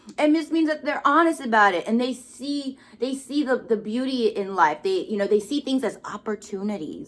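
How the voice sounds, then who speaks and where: A woman speaks loudly at a moderate pace, her pitch swinging very widely. Noticeable background noise is present. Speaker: tarot card reader. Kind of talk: spiritual card reading monologue. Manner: loud, expressive; casual, hesitant with fillers.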